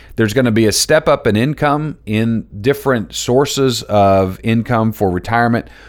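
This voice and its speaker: An unremarkable speaking voice from a man at medium pitch and moderate pace, with ordinary pitch variation, on a very clean recording with a silent background. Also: very even loudness. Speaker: financial advisor podcast host. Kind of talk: solo podcast explainer.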